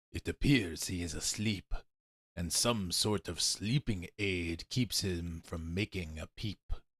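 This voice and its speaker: In a put-on character voice pitched very deep and low, a man talks at a fairly slow pace. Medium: read story.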